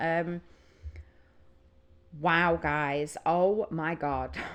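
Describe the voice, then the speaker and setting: Her pitch fairly low, a woman talks with a Northern English accent. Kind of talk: casual music reaction talk to camera.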